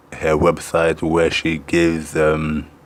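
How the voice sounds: The man's pitch is extremely low. His intonation stays monotone and flat.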